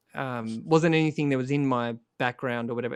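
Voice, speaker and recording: The speaker has an Australian accent, heard against a quiet background. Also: man. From Australia, rural Victoria. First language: Croatian. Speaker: singer-songwriter and author. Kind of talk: casual interview on a live music stream.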